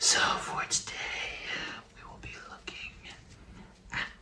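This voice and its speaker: A man whispers in a relaxed tone at a fairly slow pace. There is noticeable background noise. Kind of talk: ASMR soft-spoken ramble about movies, casual talk to camera. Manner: soft-spoken, whispery, relaxed.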